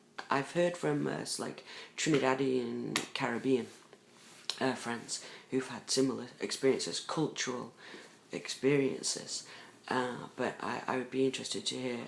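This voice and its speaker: Someone with an English accent speaks at a moderate pace. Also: man. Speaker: vlogger. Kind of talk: personal video diary. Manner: hesitant, many fillers.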